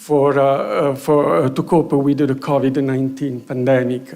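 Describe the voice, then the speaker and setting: Speaking with a Romanian accent, a man keeps to a fairly slow pace. Audible room echo surrounds his voice. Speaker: EU research program official. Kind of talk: conference presentation. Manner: halting, many fillers.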